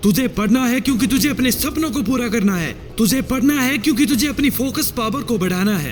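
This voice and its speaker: A man's extremely high pitch with ordinary variation, hardly any pauses, and noticeable background noise. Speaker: motivational speaker. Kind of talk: motivational speech.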